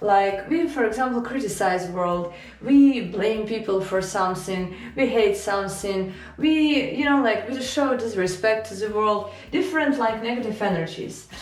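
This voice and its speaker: Lively in intonation, a woman with a Ukrainian accent talks at a moderate pace and a fairly high pitch, with noticeable background noise and audible room echo. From Ukraine. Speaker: self-help / spiritual video creator. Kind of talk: informal spiritual talk to camera. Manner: halting, with fillers and restarts.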